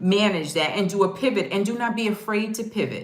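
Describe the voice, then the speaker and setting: A woman's voice, medium in pitch, comes through noticeable background noise. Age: 60s. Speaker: travel vlogger and house sitter. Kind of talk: casual chat.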